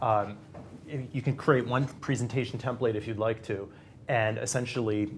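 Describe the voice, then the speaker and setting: Speaking at a moderate pace with long, frequent pauses, a man with a Boston accent keeps a medium pitch and a flat, monotone intonation. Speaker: industry research analyst. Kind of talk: panel discussion. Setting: studio.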